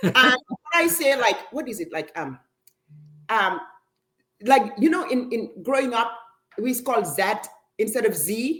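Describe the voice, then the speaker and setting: Her pitch is high and swings very widely in an excited tone. The woman speaks at a fairly slow pace with long, frequent pauses. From Africa. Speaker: parent of students. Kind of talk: interview.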